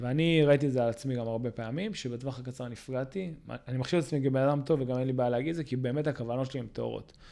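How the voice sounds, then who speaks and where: A very fast man's voice at medium pitch, dark and mellow in tone, with fairly even intonation and hardly any pauses. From Israel, Ra'anana. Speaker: podcast host, company CEO. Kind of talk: interview. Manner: hesitant, many fillers.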